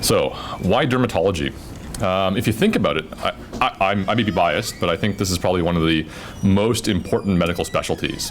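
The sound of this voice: Through clear background noise, a man with a low pitch speaks at a fairly quick pace with ordinary pitch variation.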